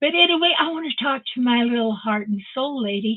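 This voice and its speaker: A woman speaks at a fairly slow pace in a high-pitched voice. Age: 80s+. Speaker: online live-stream host. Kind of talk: casual live-stream chat. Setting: live stream via video call. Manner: animated.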